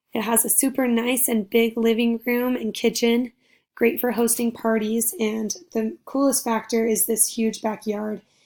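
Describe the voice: A woman with a raspy, fairly high voice speaks with little pitch movement.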